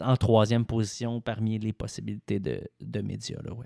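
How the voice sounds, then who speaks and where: On a very clean recording with a silent background and a dry, close sound with no echo, a man with a Quebec accent talks at a moderate pace with fairly even intonation. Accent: Québécois French. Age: 20s. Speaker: sports journalist. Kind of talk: casual interview.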